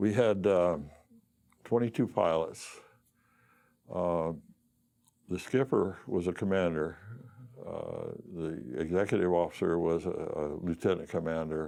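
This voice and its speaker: Against a quiet background, a man with a dark, mellow tone and very deep, low pitch speaks at a fairly slow pace with ordinary pitch variation and long, frequent pauses. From Arizona, US Southwest. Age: 70s. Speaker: war veteran. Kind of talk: oral history interview. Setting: studio. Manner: halting, many fillers and repeats.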